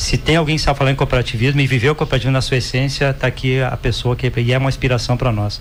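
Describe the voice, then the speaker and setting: A man speaks at a very fast pace in a medium pitch. Noticeable background noise is audible behind him. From Rio Grande do Sul, Brazil (rural). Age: 60s. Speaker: cooperative executive. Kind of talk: podcast interview.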